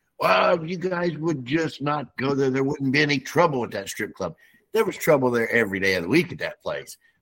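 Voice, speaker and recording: A man's fairly high-pitched voice with vocal fry. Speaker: show co-panelist. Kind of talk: casual Bible discussion.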